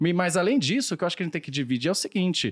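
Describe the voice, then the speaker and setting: This man is recorded very cleanly against a silent background, the sound dry and close with no echo. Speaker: economist. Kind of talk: casual podcast discussion.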